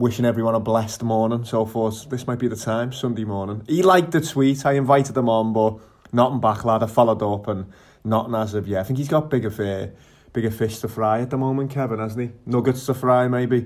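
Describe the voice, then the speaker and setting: At a fairly quick pace, a man talks at a medium pitch with fairly even intonation. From Liverpool, England. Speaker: podcast host. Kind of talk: casual chat.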